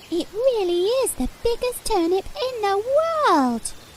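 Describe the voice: A woman's squeaky, cartoonish character voice at an extremely high pitch, with very wide pitch swings and a fairly slow pace, over clear background noise.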